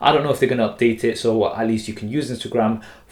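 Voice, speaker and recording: A man speaks with a strong Leicester accent. His intonation stays fairly even. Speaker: tech reviewer. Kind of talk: product review. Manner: casual.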